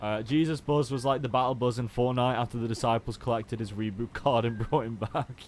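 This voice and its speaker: A man with a Stoke accent speaks at a fairly quick pace, with hardly any pauses. His pitch is medium and his intonation fairly even. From Stoke-on-Trent, England. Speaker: video game streamer. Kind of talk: casual live-stream commentary while gaming.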